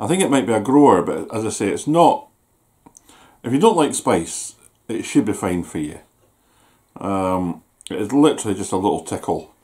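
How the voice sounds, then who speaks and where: In a Scottish accent, a man with a dark, mellow tone speaks at a moderate pace with very wide pitch swings and long, frequent pauses against a quiet background. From Scotland. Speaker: YouTuber doing food reviews. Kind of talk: casual vlog review. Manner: chatty, hesitant with fillers. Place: home room. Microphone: camera far.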